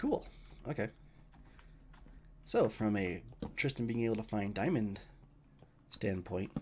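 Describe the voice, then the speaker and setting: A man with an American accent, fairly low in pitch, fairly slow, with long, frequent pauses and ordinary pitch variation. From US West, Idaho. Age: 30s. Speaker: gaming streamer. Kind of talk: live gameplay commentary. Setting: live stream. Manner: casual, conversational.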